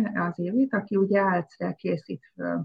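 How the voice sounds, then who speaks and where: A woman's somewhat breathy voice at medium pitch and a moderate pace. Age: 50s. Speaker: stylist and former basketball player. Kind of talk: casual interview.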